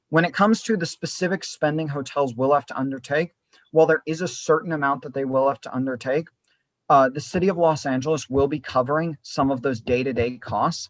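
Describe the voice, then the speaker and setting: In a normal speaking voice, a man talks fairly quickly at a fairly high pitch. His pitch varies in an ordinary way, and the sound is dry and close with no echo. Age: young. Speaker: political activist and mayoral candidate. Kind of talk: interview answer.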